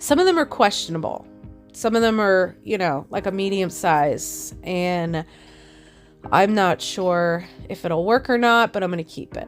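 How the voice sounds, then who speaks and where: Music plays in the background as a woman speaks at a medium pitch. Her pace is fairly slow, with ordinary pitch variation. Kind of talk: DIY tutorial talk to camera.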